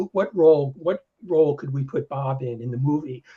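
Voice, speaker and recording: Fairly high-pitched and somewhat breathy, a man's voice carries a dark, mellow tone at a fairly quick pace. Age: 60s. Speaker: software developer and technical writer. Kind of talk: casual chat. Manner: halting, many restarts.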